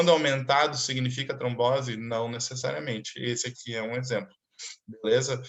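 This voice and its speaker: Here is a man with an unremarkable speaking voice. He talks at a medium pitch and a moderate pace. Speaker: doctor teaching a clinical case class. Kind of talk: online lecture.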